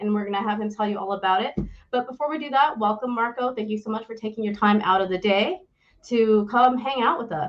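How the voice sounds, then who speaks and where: This woman has an ordinary speaking voice, pitched fairly high, with ordinary pitch variation. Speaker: podcast host. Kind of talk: interview. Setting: live stream.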